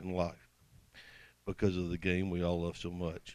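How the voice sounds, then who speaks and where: A man talks with an American accent at a moderate pace. His pitch is very deep and low. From US South, Mississippi. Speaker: football hall of fame inductee. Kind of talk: acceptance speech. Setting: banquet stage with audience. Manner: reading from prepared notes.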